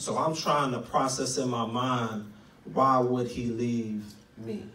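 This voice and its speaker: Speaking very slowly with an American accent, a man at medium pitch keeps a fairly even intonation over noticeable background noise and audible room echo. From Tulsa, Oklahoma. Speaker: guest preacher. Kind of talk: testimony.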